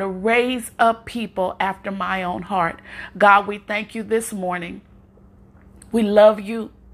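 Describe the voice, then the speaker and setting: A woman with a medium-pitched, warm voice speaks at a fairly slow pace, her intonation fairly even. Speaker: prayer podcaster. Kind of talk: fervent prayer. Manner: fervent, impassioned; warm, encouraging.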